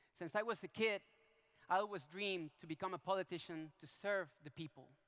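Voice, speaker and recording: A man with a high pitch and a Venezuelan accent at a fairly quick pace. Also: ordinary pitch variation, dry, close sound with no echo. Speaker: politician. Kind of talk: public talk. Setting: stage with audience.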